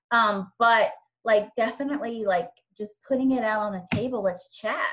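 An ordinary speaking voice from a woman with an American accent, fairly high in pitch, at a moderate pace with ordinary pitch variation. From Virginia. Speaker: instructional coach. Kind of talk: casual chat.

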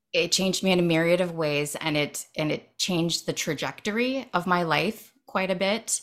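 In an American accent, a woman with a plain, everyday voice talks at a moderate pace with hardly any pauses, fairly low in pitch and with ordinary pitch variation, on a very clean recording with a silent background. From Ohio, US Midwest. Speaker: writer and writing workshop leader. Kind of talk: casual interview chat.

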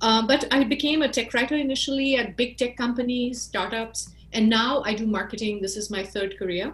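With an Indian accent, a woman speaks in a high voice with ordinary pitch variation. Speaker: marketing expert. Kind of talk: interview.

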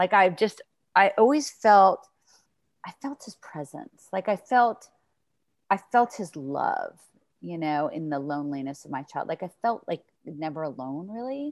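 With an American accent and a medium pitch, a woman speaks fairly slowly in an animated tone, her pitch swinging very widely and her loudness rising and falling a lot, with long, frequent pauses and a dry, close sound with no echo. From New York. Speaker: relationship coach. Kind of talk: interview.

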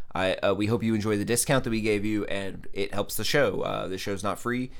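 Lively intonation at a moderate pace. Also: man. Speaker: comedy podcast co-host. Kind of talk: casual comedic chat.

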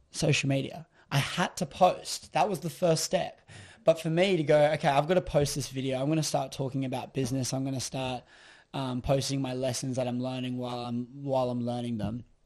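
Against a quiet background, a man with an Australian accent talks at a fairly quick pace, his pitch medium and its variation ordinary. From Queensland, Australia. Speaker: entrepreneur and social media influencer. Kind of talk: casual interview chat.

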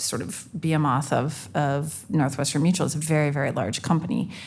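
Her voice is very deep and low, with ordinary pitch variation. Audible room echo surrounds the woman's speech. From Canada. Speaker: fintech executive. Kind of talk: live panel discussion. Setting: stage with audience.

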